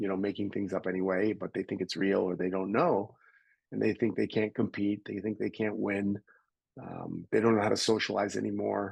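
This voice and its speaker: Over a quiet background, a man talks at a fairly quick pace in a fairly low pitch, his intonation monotone and flat, with vocal fry. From Canada. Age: 60s. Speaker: personal development coach and entrepreneur. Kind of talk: interview.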